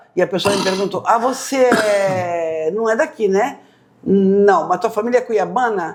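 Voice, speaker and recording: Her pitch is medium. This woman shows ordinary pitch variation. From São Paulo state, Brazil. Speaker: podcast host, interviewer. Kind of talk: interview.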